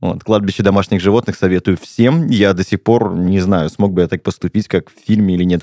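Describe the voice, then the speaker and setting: A man's very deep, low voice with a dark, mellow tone, dry and close with no echo. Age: 30s. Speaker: podcast host. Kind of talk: casual chat.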